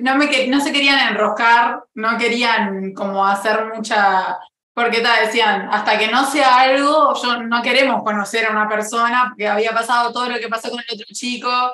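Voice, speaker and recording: A woman speaks at a fairly slow pace with fairly high pitch and fairly even intonation. Audible room echo and noticeable background noise fill the recording. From Uruguay. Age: 20s. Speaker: interview guest. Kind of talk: casual chat.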